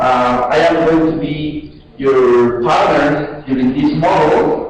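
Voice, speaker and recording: A man speaks at a very slow pace. Noticeable background noise and audible room echo are present in the recording. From Mexico City. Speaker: English language student. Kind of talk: scripted self-introduction.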